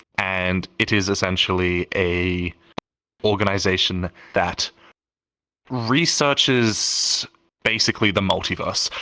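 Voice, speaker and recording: In a very clean recording with a silent background, a man speaks at a very slow pace with a very deep, low pitch, a bright, sharp tone and fairly even intonation. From Australia. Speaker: roleplay community leader. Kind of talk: podcast interview. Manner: casual, halting with fillers.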